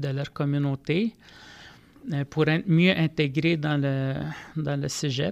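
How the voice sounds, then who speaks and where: This man's voice is fairly high in pitch and moves at a very slow pace. The sound is dry and close, with no echo. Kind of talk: podcast interview. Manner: halting, many repetitions.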